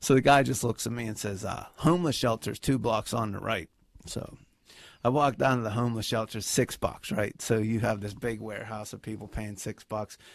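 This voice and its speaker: A man with an unremarkable speaking voice talks at a fairly quick pace and a medium pitch. His intonation is fairly even, and the recording is very clean with a silent background. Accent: American. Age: 50s. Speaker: stand-up comedian. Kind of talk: casual chat.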